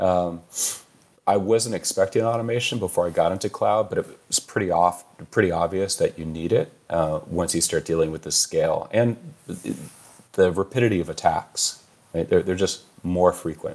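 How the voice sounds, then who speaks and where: A man at a moderate pace, with a Californian accent. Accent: American (Californian). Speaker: chief information security officer. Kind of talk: interview. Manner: hesitant, many fillers.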